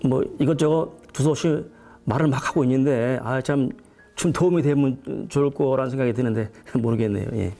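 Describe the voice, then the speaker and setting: Dark and mellow in tone, a man's medium-pitched voice holds very even loudness and ordinary pitch variation. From Korea, Chungcheong province. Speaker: painter and art professor. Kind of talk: lecture. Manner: fast; speeds up as he goes.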